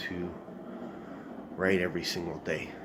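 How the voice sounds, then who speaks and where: Over noticeable background noise and audible room echo, a man talks with a very deep, low pitch. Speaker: aspiring writer vlogger. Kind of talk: casual vlog. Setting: at home early morning. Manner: halting, many fillers.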